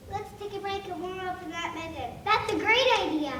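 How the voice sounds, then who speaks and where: This put-on character voice is extremely high, with clear echo and clear background noise. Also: moderate pace. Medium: stage play. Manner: cheerful.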